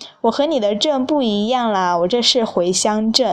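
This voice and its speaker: At a moderate pace, a woman uses a normal speaking voice at a fairly high pitch, with ordinary pitch variation. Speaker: podcast host. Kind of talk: casual solo travel talk.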